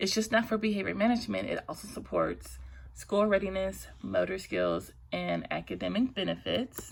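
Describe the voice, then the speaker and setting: A woman speaks at a moderate pace in a shaky voice. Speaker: student presenting a case study. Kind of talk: class presentation.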